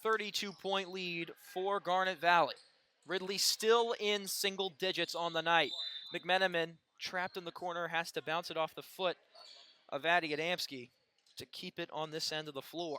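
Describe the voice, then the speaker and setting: A man's voice sits at a high pitch. He keeps a moderate pace and fairly even intonation. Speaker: sports play-by-play broadcaster. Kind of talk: live sports play-by-play commentary.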